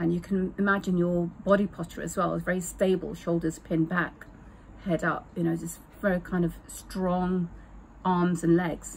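With light background noise, a woman speaks at a moderate pace in a fairly low, somewhat breathy voice with monotone, flat intonation. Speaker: breathwork or wellness coach. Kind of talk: tutorial. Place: garden. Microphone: phone near.

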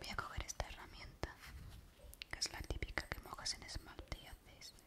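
A woman is whispering at a moderate pace. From Spain. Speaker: ASMR creator. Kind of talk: ASMR video. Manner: whispered. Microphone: studio mic.

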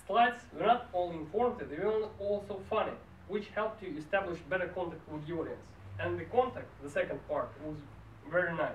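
With audible room echo and light background noise, a man talks at a fairly quick pace and high pitch with ordinary pitch variation. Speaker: speech evaluator at a public speaking club. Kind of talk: speech evaluation. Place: meeting room. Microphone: camera far.

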